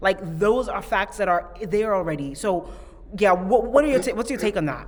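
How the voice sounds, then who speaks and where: Noticeable background noise sits behind a woman speaking at a moderate pace. Her medium-pitched voice has lively intonation. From Ghana. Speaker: podcast host. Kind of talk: podcast interview.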